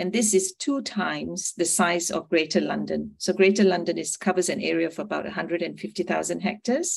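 Vocal fry at a fairly slow pace against a quiet background. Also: woman. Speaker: presenter. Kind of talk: presentation talk. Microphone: video call.

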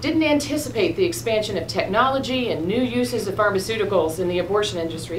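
A woman talks at a fairly quick pace with light background noise. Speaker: witness. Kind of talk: formal testimony. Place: meeting room.

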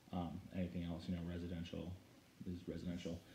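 Amid noticeable background noise, a man talks at a very fast pace in a dark, mellow, somewhat breathy tone. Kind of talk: tutorial. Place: home room. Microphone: phone near.

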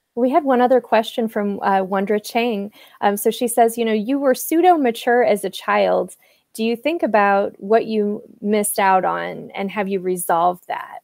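A woman with a fairly high pitch speaks at a moderate pace with lively intonation. The sound is dry, with no echo and a quiet background. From US Midwest, Quad Cities area; US Midwest. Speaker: interview show host. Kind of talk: interview. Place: home room. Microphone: earbuds.

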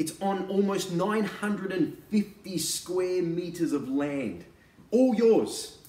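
There is audible room echo as a man speaks very slowly at high pitch with ordinary pitch variation. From Australia. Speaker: real estate agent and auctioneer. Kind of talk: real estate sales pitch to camera. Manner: casual, conversational, persuasive. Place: home room. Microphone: camera far.

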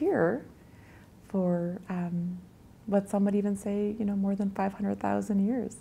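This woman's voice is dark, mellow and somewhat breathy, sitting at a medium pitch. Her intonation stays fairly even and her pace is fairly slow. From Grand Rapids, Manitoba, Canada; Cree First Nation. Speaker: nurse. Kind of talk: interview answer. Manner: thoughtful, reflective. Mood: thoughtful, reflective, gently emotional. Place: home room.

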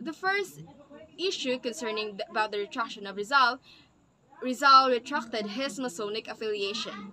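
With lively intonation and a bright, sharp tone, a woman speaks at a fairly high pitch. Her pace is moderate, with light background noise behind her. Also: big swings in loudness. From Philippines. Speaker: student presenter; presenter. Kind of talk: class presentation. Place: home room. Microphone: webcam.

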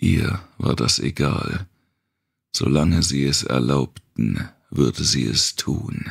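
A man's extremely low voice with vocal fry, lively intonation and a slightly husky edge

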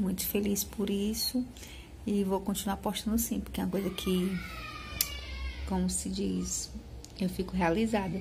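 Moderate pace over noticeable background noise. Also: woman. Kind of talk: casual vlog chat. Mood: happy, a bit emotional. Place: shop. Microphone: phone near.

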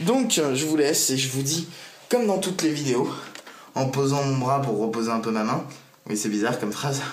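Pausing long and often, a man speaks at a moderate pace in a fairly high pitch with ordinary pitch variation. Light background noise and audible room echo are present. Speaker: vlogger. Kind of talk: casual vlog monologue. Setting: at home desk, to camera. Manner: hesitant, many fillers. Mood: relaxed, self-mocking. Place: home room. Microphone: phone near.

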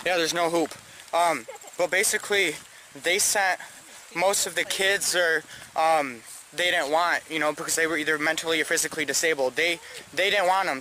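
A man's high voice at a moderate pace with fairly even intonation, a dry sound with no echo and light background noise. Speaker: explorer vlogger. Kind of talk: casual vlog chat. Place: open country. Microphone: phone near.

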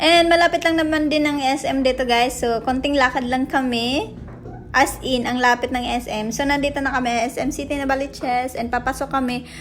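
This woman's voice is high-pitched. She talks at a moderate pace over noticeable background noise. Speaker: vlogger. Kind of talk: vlog voice-over narration. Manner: animated.

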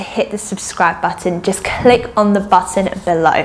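Faint music plays in the background. A woman talks at a fairly slow pace. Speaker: fitness video creator. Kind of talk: casual vlog chat, outro. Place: home room. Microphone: lapel.

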